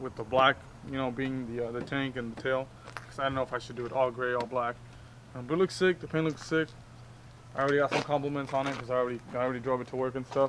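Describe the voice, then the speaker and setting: A man speaks quietly at a very fast pace, his pitch sitting in the middle range. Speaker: motorcycle YouTuber. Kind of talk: casual vlog. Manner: hesitant, many fillers.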